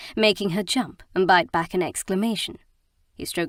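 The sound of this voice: Just an unforced reading voice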